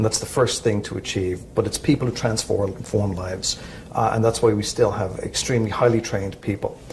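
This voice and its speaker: Over noticeable background noise, a man with an Irish accent talks at a fairly quick pace in a fairly low voice with fairly even intonation. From Ireland. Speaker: credit union executive. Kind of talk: interview. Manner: halting, many fillers.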